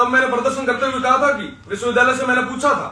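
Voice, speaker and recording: In a room with audible echo, a man speaks in a raised, projected voice. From western Rajasthan, Barmer district. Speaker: student leader. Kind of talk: political speech. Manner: impassioned.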